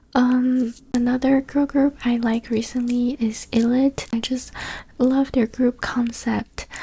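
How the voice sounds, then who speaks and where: Someone speaks with a Chinese accent at a fairly slow pace. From China. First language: Chinese (Mandarin). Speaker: ASMR YouTuber. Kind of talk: casual Q&A talk. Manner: soft-spoken.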